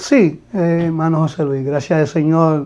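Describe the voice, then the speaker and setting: Over music in the background, a man with a fairly high pitch talks at a very slow pace using fairly even intonation. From Dominican Republic, Santiago/Navarrete. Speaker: pastor. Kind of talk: testimony interview. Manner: halting, repeats words.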